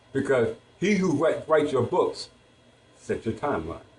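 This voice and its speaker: Somewhat breathy, a man talks at a moderate pace. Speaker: sovereign citizen lecturer. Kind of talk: lecture. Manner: slurred; halting.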